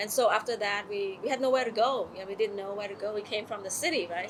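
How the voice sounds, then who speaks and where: Amid noticeable background noise, a woman with a medium pitch talks at a fairly quick pace with ordinary pitch variation. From Cambodia, Kampong Cham. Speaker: refugee interviewee. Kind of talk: oral history interview. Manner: halting.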